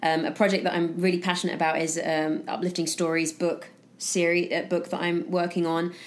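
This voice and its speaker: A woman with a British accent speaks at a fairly quick pace in a monotone, flat intonation. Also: fairly low pitch for a woman. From UK. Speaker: actress and founder of a positive news platform. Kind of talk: casual interview. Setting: in person studio.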